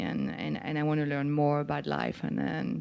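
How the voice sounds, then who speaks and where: A woman speaks with a French accent. Background noise is noticeable throughout. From France. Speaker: chef. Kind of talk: live onstage conversation. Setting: stage with audience.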